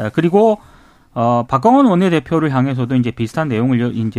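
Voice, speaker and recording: With an unremarkable speaking voice at medium pitch, a man talks at a fairly quick pace in a very clean recording with a silent background and a dry, close sound with no echo. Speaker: journalist. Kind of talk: news briefing.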